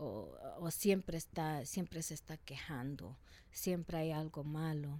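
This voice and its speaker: A dark, mellow tone at a very slow pace, with ordinary pitch variation. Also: woman, very deep, low pitch for a woman. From Salvadoran family in the US. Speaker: rapper and activist. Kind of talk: interview. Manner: halting, many fillers.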